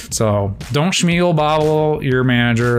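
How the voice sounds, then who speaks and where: A man with lively intonation talks at a fairly slow pace as music plays in the background. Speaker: engineer and vlogger. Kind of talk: casual vlog monologue.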